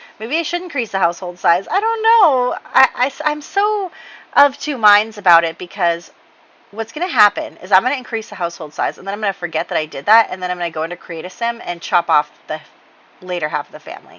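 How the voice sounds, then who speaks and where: A woman's fairly high voice at a very fast pace, with very wide pitch swings and big swings in loudness, amid noticeable background noise. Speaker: video game let's play creator. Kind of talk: gameplay commentary. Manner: casual, with many fillers.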